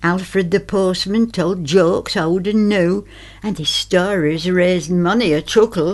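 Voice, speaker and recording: A woman with a Lancashire accent talks at a fairly slow pace. Her pitch is medium and her intonation fairly even. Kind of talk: dialect poetry reading.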